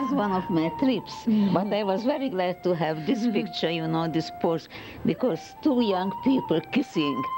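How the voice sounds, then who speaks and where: A woman speaks at a moderate pace with very wide pitch swings. Noticeable background noise runs under her voice. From Hungary. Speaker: photographer. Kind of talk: interview answer. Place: home room. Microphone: handheld.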